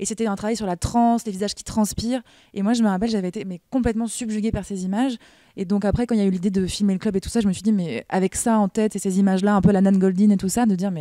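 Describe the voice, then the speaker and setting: A woman at medium pitch talks at a very fast pace with a dark, mellow tone and fairly even intonation, in a dry, close sound with no echo. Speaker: actress. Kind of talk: interview. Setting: film festival.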